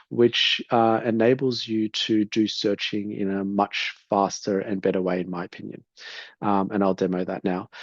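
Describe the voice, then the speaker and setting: At a moderate pace, a man talks in a fairly low pitch with fairly even intonation. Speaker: home builder sharing a sourcing demo. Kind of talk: tutorial. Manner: hesitant, many filler words.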